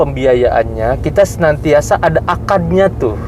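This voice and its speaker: A fairly high-pitched man with a strong Sundanese accent, speaking at a very slow pace over music in the background. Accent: Sundanese-accented Indonesian, strong. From West Java (Sundanese), Bogor. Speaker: bank executive. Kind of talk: interview, explaining. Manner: hesitant, many fillers.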